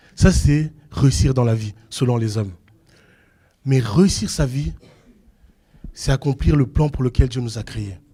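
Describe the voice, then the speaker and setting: The voice has a dark, mellow tone, somewhat breathy, with ordinary pitch variation. It moves at a very slow pace with long, frequent pauses. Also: man, medium pitch for a man. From Belgium. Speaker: preacher. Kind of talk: sermon. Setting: church.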